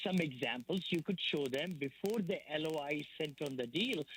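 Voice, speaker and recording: A man speaks at a fairly slow pace in a fairly high voice, with an enthusiastic tone and lively intonation. The sound is dry and close, with no echo. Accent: non-native. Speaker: real estate investor and educator. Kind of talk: radio interview. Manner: enthusiastic, repetitive.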